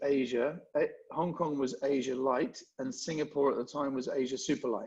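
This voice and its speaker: A man in a London accent speaks at a moderate pace with a fairly high pitch. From England, London. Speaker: event marketing executive. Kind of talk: podcast interview. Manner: halting, many restarts.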